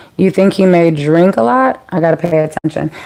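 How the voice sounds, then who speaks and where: Over noticeable background noise, the voice keeps a moderate pace with ordinary pitch variation. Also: woman. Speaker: tarot reader. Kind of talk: live tarot reading. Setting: livestream. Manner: casual, chatty.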